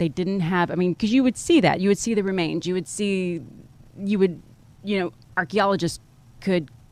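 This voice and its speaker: The pitch varies in an ordinary way, and there is noticeable background noise. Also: woman. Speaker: podcast host. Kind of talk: interview. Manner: halting.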